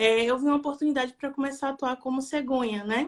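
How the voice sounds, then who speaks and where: A woman speaks in a monotone, flat intonation with a Bahian accent. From Bahia, Brazil. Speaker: adoption volunteer and NGO founder. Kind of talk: live stream interview.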